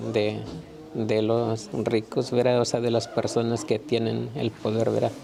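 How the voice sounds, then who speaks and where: Through noticeable background noise, a man with a Mexican accent speaks at a fairly slow pace and a medium pitch. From Mexico. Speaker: migrant farm worker. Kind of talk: interview answer.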